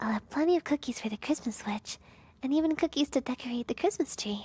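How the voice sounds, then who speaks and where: Someone uses a put-on character voice at a very fast pace. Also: woman, high pitch for a woman. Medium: virtual streamer. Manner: flustered, good-natured.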